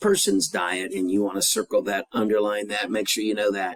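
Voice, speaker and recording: Speaking with an American accent, a man moves at a fairly quick pace. His pitch swings very widely. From rural US. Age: 60s. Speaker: high school teacher. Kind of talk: recorded lecture. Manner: casual, with many fillers.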